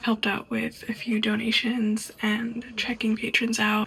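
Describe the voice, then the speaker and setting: Quiet and monotone, a woman with a fairly high pitch talks at a fairly slow pace over noticeable background noise. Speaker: book vlogger. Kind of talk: casual vlog narration. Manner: quiet, hushed.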